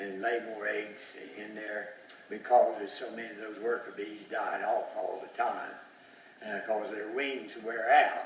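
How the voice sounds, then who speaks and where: Over noticeable background noise and audible room echo, a man talks at a fairly slow pace with a fairly low pitch. His intonation is monotone and flat, while his loudness swings a lot. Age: 80s+. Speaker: retired beekeeper. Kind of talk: storytelling. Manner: halting.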